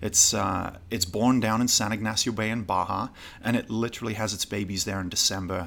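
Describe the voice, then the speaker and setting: A man with a British accent speaks at a fairly quick pace in a fairly low pitch. His pitch varies in an ordinary way on a very clean recording with a silent background. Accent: British, noticeably non-American. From northern England, Newcastle. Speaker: gin distiller and travel show host. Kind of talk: casual interview. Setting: trade show.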